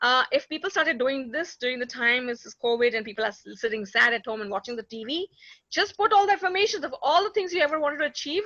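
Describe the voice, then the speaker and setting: Raised and projected, a woman's high, bright, sharp voice races at a very fast pace with very wide pitch swings and big swings in loudness. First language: not English. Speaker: conference speaker. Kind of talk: conference Q&A discussion.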